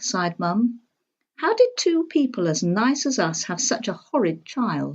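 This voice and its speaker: Somewhat breathy, a woman speaks at a moderate pace while her pitch swings very widely. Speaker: storybook reader. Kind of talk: children's storybook reading.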